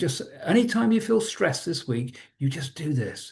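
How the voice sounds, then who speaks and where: A man with a British accent, fairly high pitch, dark and mellow tone, somewhat breathy delivery, fairly slow pace, quiet background. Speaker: trauma trainer. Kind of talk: webinar presentation. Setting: online webinar.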